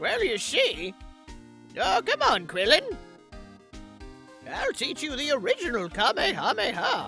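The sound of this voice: Over clear music in the background, a put-on character voice with a fairly high pitch moves at a fairly slow pace.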